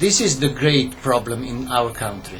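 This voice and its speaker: Speaking at a fairly slow pace with an Italian accent, a man uses lively intonation and a fairly high pitch, with audible room echo and noticeable background noise. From Italy, Rome. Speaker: commentator. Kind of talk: video monologue. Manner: halting.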